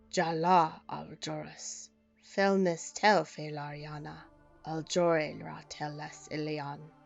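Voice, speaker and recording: A raspy, put-on character voice at a middle pitch and fairly slow pace, with faint music in the background. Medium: read story. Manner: slow, ceremonial.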